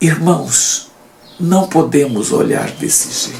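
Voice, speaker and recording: Spoken very slowly with lively intonation, the voice comes through noticeable background noise. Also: man. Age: 70s. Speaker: Bible teacher. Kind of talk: Bible study lesson commentary.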